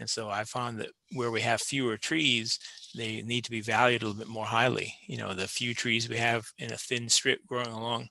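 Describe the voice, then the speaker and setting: A man speaks at a medium pitch with a bright, sharp tone and vocal fry. His intonation is fairly even. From Maine. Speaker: forestry professor. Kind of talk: podcast interview. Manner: relaxed, hesitant with fillers.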